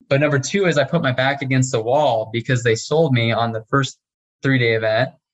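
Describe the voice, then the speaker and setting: A man's somewhat breathy voice sits at a medium pitch with ordinary pitch variation. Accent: American. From US Midwest, small town Nebraska. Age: young. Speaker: real estate investor. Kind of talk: interview.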